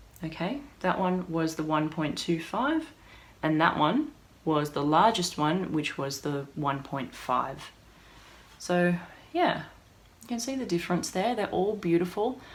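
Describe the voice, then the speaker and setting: Using lively intonation, a woman with an Australian accent talks at a fairly slow pace in a fairly low pitch, with long, frequent pauses. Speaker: hairdresser. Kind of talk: product review tutorial. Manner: animated.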